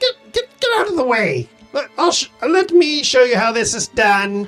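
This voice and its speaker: A female-sounding put-on character voice, high-pitched and shrill, moves at a moderate pace over faint music in the background. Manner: brash, impatient, showing off.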